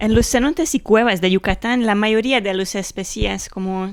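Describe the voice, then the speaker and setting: A woman with a non-native accent, fairly slow pace, ordinary pitch variation. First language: Hungarian (speaking Spanish). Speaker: biologist and cave researcher. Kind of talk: interview. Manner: halting.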